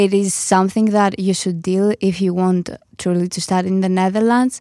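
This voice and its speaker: A woman is speaking. She has a Greek accent. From Greece. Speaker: international student. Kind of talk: panel discussion. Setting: studio.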